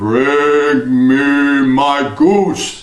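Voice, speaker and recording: This is a man doing a put-on character voice. His pitch sits fairly high. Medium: read story. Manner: menacing.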